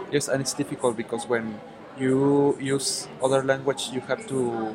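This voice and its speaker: Speech at a moderate pace, with ordinary pitch variation, comes through noticeable background noise. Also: man, medium pitch for a man. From Mexico, Guadalajara. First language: Spanish. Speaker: university language student. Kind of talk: casual interview practice. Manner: halting.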